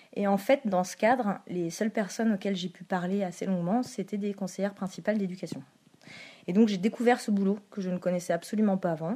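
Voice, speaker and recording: At a fairly quick pace, a woman speaks in a medium-pitched, somewhat breathy voice with a dark, mellow tone and fairly even intonation. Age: 20s. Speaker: school counsellor (CPE). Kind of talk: interview. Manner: halting, with fillers.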